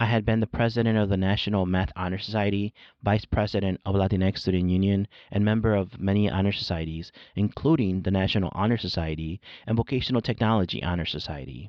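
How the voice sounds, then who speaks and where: A man with a Spanish accent talks at a very fast pace, his fairly low pitch showing ordinary variation. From born in Mexico, grew up in California and Chicago. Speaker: podcast host, education professor. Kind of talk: scripted narration. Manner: formal.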